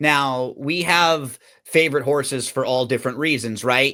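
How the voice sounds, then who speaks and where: Recorded very cleanly over a silent background, a man speaks in a fairly high pitch with a bright, sharp tone and ordinary pitch variation. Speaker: podcast host. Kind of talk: podcast host interview questions.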